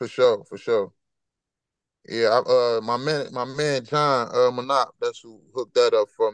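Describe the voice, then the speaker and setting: Delivery is fairly slow, with fairly even intonation and big swings in loudness. The sound is dry and close, without echo. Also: man, medium pitch for a man. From Chicago, Roseland. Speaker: rapper. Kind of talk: casual interview.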